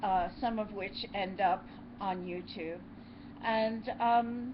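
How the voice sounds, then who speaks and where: A woman speaks very slowly at a fairly high pitch, with fairly even intonation. Room echo is audible, and background noise is noticeable. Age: 60s. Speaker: YouTube co-host. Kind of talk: casual chat.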